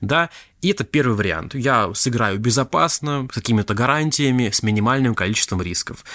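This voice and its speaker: This man talks at a fairly quick pace in a bright, sharp tone with lively intonation and medium pitch, on a very clean recording with a silent background and a dry, close sound with no echo. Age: 20s. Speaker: podcast host, crypto investor. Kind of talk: solo monologue podcast. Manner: casual, conversational.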